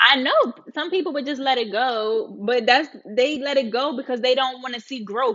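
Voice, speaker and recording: A woman speaks in an animated tone with a Baltimore accent. Her pitch is high, with ordinary variation. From Baltimore, US. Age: 30s. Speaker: live streamer. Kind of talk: casual live-stream chat. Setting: live stream.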